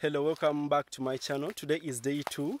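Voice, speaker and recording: Light background noise and dry sound with no echo around a man at a moderate pace. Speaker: village life vlogger. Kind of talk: casual vlog chat. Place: farm machine. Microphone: phone near.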